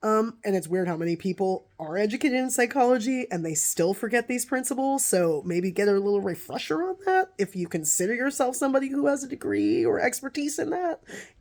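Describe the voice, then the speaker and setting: Loud and fairly quick, a woman speaks at a fairly high pitch with very wide pitch swings and hardly any pauses. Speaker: video blogger. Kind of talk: casual monologue to camera. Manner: halting.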